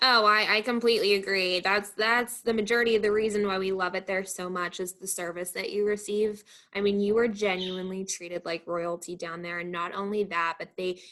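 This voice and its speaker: A woman speaks loudly at a medium pitch with a bright, sharp tone. Her pace is fairly quick, with hardly any pauses and fairly even intonation. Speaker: event venue manager. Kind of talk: casual interview chat. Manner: loud, talkative.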